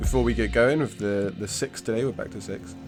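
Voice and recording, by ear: Over clear music in the background, a man speaks at a fairly quick pace in a raspy, fairly low voice with ordinary pitch variation.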